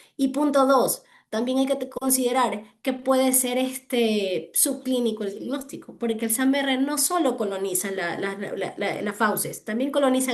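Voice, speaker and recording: This woman speaks at a fairly slow pace in a high voice with ordinary pitch variation. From Ecuador. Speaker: hospital physician presenting a clinical case. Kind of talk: case discussion in online medical session.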